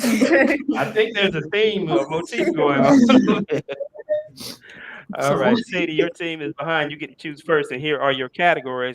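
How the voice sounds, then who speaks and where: Pitch leaps very widely while the delivery holds a moderate pace. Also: man, high pitch for a man. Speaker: quiz bowl moderator. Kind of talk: quiz show questions.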